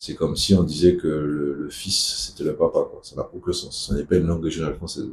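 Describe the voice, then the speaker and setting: A man with a Martinican accent talks at a fairly quick pace. His voice is somewhat breathy, with ordinary pitch variation. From Martinique. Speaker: activist speaker. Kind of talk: video talk.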